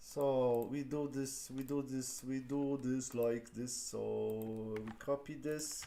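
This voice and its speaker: A man with a non-native accent speaks at a medium pitch in a dark, mellow tone, with audible room echo. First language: not English. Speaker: lean six sigma trainer. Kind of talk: live-streamed tutorial. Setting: live stream. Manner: halting, many fillers.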